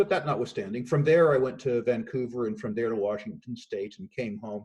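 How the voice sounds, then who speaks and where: This is an unremarkable speaking voice from a man at medium pitch, with ordinary pitch variation. He talks at a fairly quick pace with hardly any pauses. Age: 60s. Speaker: investment firm executive. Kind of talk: remote interview. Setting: remote call from home.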